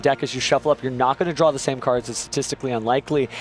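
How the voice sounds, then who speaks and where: A man talks at a very fast pace in a dry, close sound with no echo, with noticeable background noise. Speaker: tournament commentator. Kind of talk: live commentary. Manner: animated.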